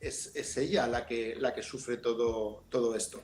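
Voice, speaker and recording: In a Valencian accent, a man speaks. His pace is fairly slow. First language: Valencian (speaking Spanish). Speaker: novelist. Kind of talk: book presentation discussion. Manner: halting, with many fillers.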